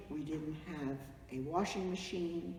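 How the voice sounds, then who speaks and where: A woman speaks at a very slow pace with a very deep, low pitch. Noticeable background noise is present. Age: old. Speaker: family matriarch of a vineyard. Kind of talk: reminiscing interview to camera.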